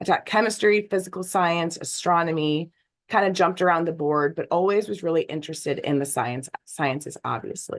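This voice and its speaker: This woman has a fairly low pitch and ordinary pitch variation. She talks at a fairly quick pace. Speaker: geoscience education specialist, former science teacher. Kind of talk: webinar presentation.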